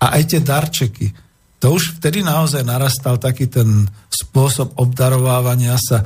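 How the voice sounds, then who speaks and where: At a fairly slow pace, a man speaks in a medium pitch with a dark, mellow tone that is somewhat breathy. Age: 60s. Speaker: radio host. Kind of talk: radio talk show. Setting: studio.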